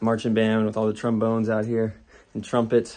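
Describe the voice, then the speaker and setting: The background is quiet as a man speaks at a fairly quick pace. His tone is dark and mellow. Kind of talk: casual vlog chat. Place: home room. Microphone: phone near.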